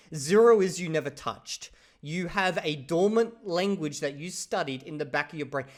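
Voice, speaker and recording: With lively intonation, this man keeps to a moderate pace. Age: 30s. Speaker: language learning commentator. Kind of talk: reaction commentary. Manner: casual, conversational.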